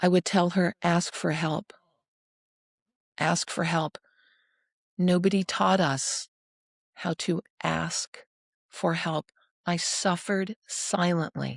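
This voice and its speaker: A fairly low-pitched woman with vocal fry, at a very slow pace with long, frequent pauses, in a dry, close sound with no echo. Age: 60s. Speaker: nonprofit founder. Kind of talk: interview.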